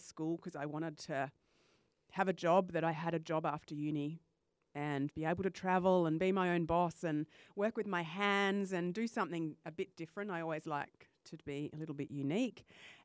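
With an Australian accent, a woman speaks at a moderate pace in a fairly low voice, the sound dry and close with no echo. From Western Australia. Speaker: life coach and podcaster. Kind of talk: casual interview chat. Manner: enthusiastic.

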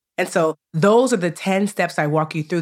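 A woman with an American accent speaks at a moderate pace in an unremarkable speaking voice, her intonation lively. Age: 40s. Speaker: personal finance educator and author. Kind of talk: interview conversation.

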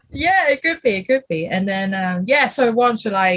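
The woman's medium-pitched, somewhat breathy voice moves at a moderate pace. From Hong Kong. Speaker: illustrator and animator. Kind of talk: casual chat. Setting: video call. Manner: hesitant, many fillers.

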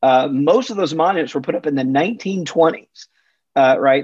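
A man with an American accent and an unremarkable speaking voice, fairly high in pitch, lively in intonation, at a moderate pace. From US South, Mississippi. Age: 50s. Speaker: religion researcher and author. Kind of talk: interview.

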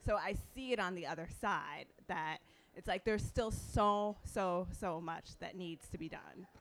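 A normal speaking voice, rather unhurried, its pitch moving in an ordinary way. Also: woman, medium pitch for a woman. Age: 40s. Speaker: fashion stylist and consultant. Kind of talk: panel discussion.

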